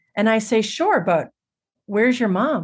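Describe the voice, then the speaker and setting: With an ordinary speaking voice, a woman talks at a moderate pace in a fairly high pitch on a very clean recording with a silent background. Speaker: storyteller and musician. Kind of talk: interview conversation.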